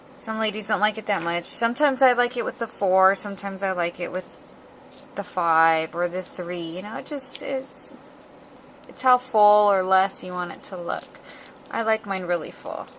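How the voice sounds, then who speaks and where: Soft-spoken delivery at a moderate pace with ordinary pitch variation. The loudness swings widely. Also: woman, medium pitch for a woman. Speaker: paper craft tutorial maker. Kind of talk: tutorial. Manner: casual, hesitant with many ums.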